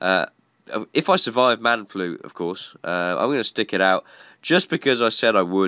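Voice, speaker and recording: A man with a British accent and a bright, sharp tone, at a moderate pace, in a dry, close sound with no echo and a very clean recording with a silent background. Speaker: gaming YouTuber. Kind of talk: gameplay commentary. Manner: slightly breathless.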